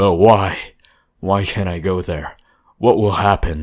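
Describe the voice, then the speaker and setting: Putting on a raspy character voice, a man speaks fairly slowly with a very deep, low pitch and fairly even intonation on a very clean recording with a silent background. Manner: demanding, almost angry.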